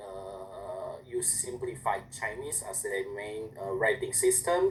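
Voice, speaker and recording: A man with an Indonesian accent at a very slow pace. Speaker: language student. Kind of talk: class presentation. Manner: halting.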